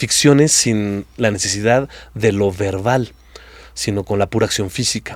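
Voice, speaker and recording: At a fairly slow pace, a man with a Mexican accent speaks in a fairly low pitch with ordinary pitch variation. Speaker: actor and improv theatre director. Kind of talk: interview conversation.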